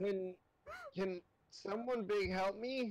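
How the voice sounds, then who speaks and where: A put-on character voice is delivered at a middle pitch. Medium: actual play. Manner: put-on distinctive voice.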